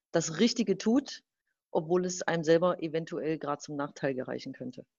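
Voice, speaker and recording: The woman's voice sits at a fairly low pitch. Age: 30s. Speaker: fashion brand consultant. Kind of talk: casual conversation. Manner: halting, many fillers.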